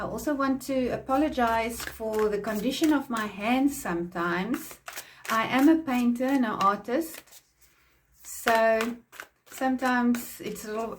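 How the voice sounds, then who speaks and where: A woman speaks at a fairly slow pace with an Afrikaans South African accent. Her pitch is high, with ordinary variation. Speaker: tarot reader and painter. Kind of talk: tarot reading.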